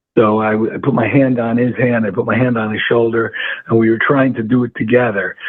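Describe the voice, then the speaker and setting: A man with an American accent at a fairly quick pace, monotone with flat intonation, over noticeable background noise. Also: medium pitch for a man. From New York State, Hudson Valley. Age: 60s. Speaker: fly fishing guide. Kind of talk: interview. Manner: halting.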